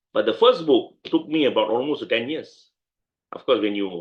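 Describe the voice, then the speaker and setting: A man with a Malaysian accent at a moderate pace. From Malaysia (Penang). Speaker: lawyer. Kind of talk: interview.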